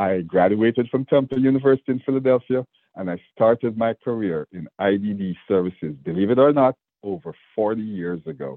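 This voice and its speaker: Speaking at a moderate pace with a Jamaican accent, a man uses a fairly low pitch and lively intonation. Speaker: state government official. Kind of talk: interview.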